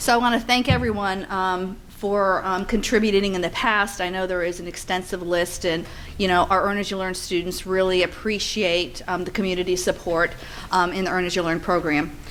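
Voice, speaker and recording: Over noticeable background noise, a woman talks at a fairly quick pace. Her pitch is medium and her intonation fairly even. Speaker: nursing program presenter. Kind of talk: presentation to donors.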